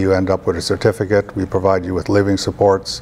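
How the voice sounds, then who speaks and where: Someone talks at a fairly quick pace with a Canadian accent and ordinary pitch variation. Background noise is noticeable. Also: man. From Alberta, Canada. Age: 60s. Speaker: employment program coordinator. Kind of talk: interview. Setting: TV studio. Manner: halting, many fillers.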